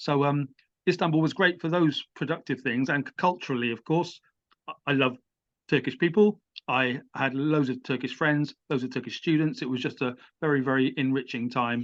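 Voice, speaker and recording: This man talks in an English accent, his pitch fairly high. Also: ordinary pitch variation, moderate pace. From England. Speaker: writer and musician. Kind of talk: interview. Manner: halting.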